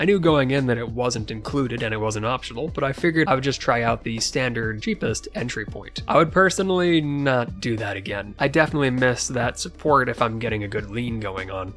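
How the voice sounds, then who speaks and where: Over music in the background, a man talks at a fairly quick pace with hardly any pauses, using lively intonation at a medium pitch. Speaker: channel creator, product reviewer. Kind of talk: product review talk.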